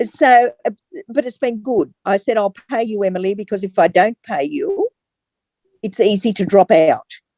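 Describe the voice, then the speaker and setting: With an Australian accent, a woman of fairly high pitch speaks at a moderate pace with lively intonation, the sound dry and close with no echo. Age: 70s. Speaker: customer giving testimonial. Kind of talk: testimony. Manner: halting.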